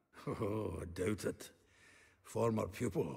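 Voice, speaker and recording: Putting on a character voice, a man speaks raspy and fairly low at a fairly slow pace. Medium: video game. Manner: chatty, chuckling.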